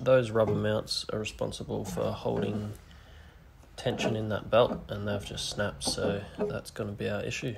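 Speech at a moderate pace comes through over loud background noise. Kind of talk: casual repair tutorial. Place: garage. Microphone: phone near.

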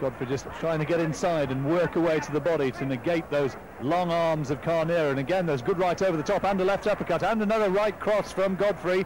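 The speech races along at a very fast pace with hardly any pauses and ordinary pitch variation. Noticeable background noise runs underneath. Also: man, high pitch for a man. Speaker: boxing commentator. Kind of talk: ring commentary. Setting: voiceover over archive fight footage. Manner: measured, crisp play-by-play, rising to urgent excitement at the controversial finish.

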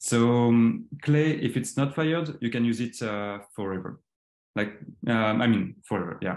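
A man with a French accent, fairly slow pace and ordinary pitch variation, amid audible room echo. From western France. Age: 30s. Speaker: designer. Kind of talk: presentation. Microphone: video call.

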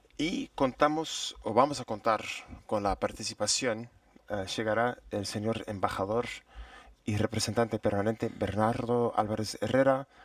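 Fairly slow delivery with fairly even intonation, a quiet background, and a dry sound without echo. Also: man. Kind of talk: formal session chairing announcement. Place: hall. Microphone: podium.

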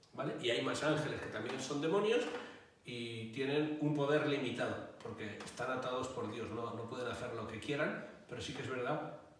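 A man's voice with strong room echo and light background noise. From Catalonia, Spain (Barcelona). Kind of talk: interview answers. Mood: calm, explanatory. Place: home room. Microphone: handheld.

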